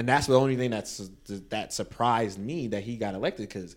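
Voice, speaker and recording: In a very clean recording with a silent background, a man speaks at a very fast pace. His pitch is fairly low, with ordinary variation. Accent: New York. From Brooklyn, New York (Canarsie), Caribbean parents. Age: 20s. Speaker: teacher. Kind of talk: casual chat.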